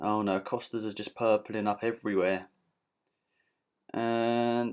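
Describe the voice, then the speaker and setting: Mumbling in a British accent at a fairly slow pace, the speaker keeps a monotone, flat intonation on a very clean recording with a silent background. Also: man. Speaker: gaming youtuber. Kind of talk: gameplay commentary. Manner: casual.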